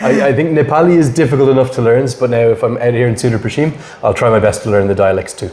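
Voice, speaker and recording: Speaking at a very fast pace, a man with a Dublin accent uses a medium pitch and ordinary pitch variation, with noticeable background noise behind him. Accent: Irish (Dublin). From Ireland, Dublin. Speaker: cricket commentator. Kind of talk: podcast interview.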